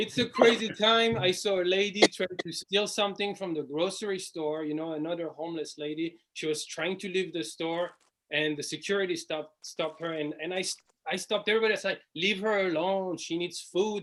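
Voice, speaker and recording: A man with a high pitch, ordinary pitch variation and a fairly quick pace. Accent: strong French. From France. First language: French. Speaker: stand-up comedian. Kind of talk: stand-up.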